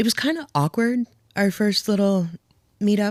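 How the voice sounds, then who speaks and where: A woman with a New Jersey accent, in a dry, close sound with no echo, on a very clean recording with a silent background. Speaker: widow sharing her story. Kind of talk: podcast interview.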